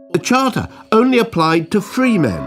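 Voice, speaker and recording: Music can be heard behind the speaker. He is a man talking at a moderate pace. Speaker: narrator, comedian. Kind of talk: educational animation narration.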